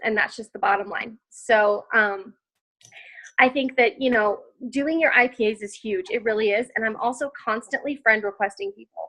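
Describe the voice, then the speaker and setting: A woman is speaking. Her tone is animated. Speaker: network marketing distributor. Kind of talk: interview. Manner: loud.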